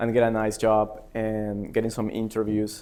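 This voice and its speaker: In a very clean recording with a silent background, a man speaks at a medium pitch and a moderate pace with a Spanish accent. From Peru. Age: 30s. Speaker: MBA student. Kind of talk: personal speech at open mic event. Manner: hesitant, many fillers.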